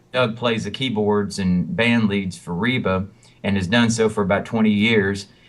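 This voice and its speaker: With a Southern US accent, a man speaks at a fairly low pitch and a moderate pace, his intonation fairly even. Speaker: country singer and songwriter. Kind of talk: interview. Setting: phone call. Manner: halting, many fillers.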